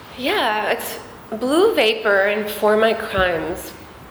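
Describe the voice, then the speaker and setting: Medium-pitched female speech against noticeable background noise. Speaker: singer-songwriter. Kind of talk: interview, casual chat. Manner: laughs often, casual.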